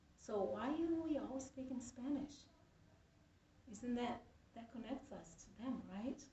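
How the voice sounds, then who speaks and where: With a Brazilian Portuguese accent, a woman speaks high-pitched at a moderate pace with lively intonation, in audible room echo. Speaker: student. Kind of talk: persuasive speech. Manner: halting.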